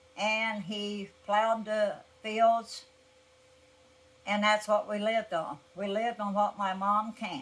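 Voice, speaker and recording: A woman with an American accent speaks fairly slowly in a somewhat breathy voice. Her intonation is flat and monotone, broken by long, frequent pauses. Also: fairly high pitch for a woman. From Appalachia, southern Ohio (Scioto County). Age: 80s+. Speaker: elderly interviewee recalling farm life. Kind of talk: oral history interview.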